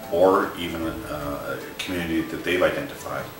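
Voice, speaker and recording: A man's very deep, low voice amid audible room echo and clear background music. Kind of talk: explanatory presentation to camera. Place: home room.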